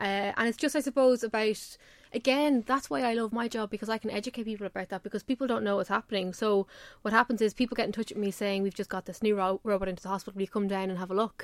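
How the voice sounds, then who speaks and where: Speaking very fast in an Irish accent, a woman with a fairly high pitch and ordinary pitch variation is heard in a very clean recording with a silent background and a dry, close sound with no echo. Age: 20s. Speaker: radio tech journalist. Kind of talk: casual chat. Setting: radio studio.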